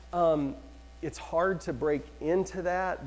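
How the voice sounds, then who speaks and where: The man speaks in an animated tone. Audible room echo surrounds his voice. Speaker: real estate trainer. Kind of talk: lecture.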